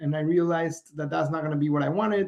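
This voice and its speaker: A man at fairly high pitch with a Spanish accent and fairly even intonation. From Mexico. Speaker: entrepreneur. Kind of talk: interview. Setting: podcast.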